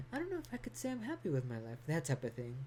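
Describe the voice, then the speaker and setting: This woman's voice is somewhat breathy, with a dark, mellow tone. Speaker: vlogger. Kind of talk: personal vlog monologue. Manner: halting, with stutters and repetition.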